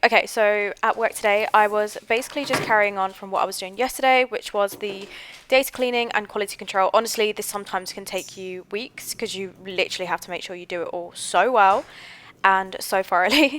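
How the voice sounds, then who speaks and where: Against noticeable background noise, a woman talks at a fairly quick pace in a medium pitch, with ordinary pitch variation and big swings in loudness. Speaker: coding vlogger. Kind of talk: voiceover narration. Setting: quiet office.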